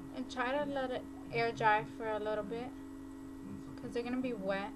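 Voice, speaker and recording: A woman talks at a fairly quick pace, with noticeable background noise behind her. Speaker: beauty vlogger. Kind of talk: hair tutorial talk to camera. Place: home room. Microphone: webcam.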